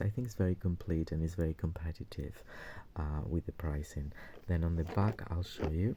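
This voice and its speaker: A soft-spoken man talks at a moderate pace with a very deep, low pitch, a dark, mellow tone and ordinary pitch variation. The recording is very clean, with a silent background. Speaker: toy collector YouTuber. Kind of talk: product review. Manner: halting.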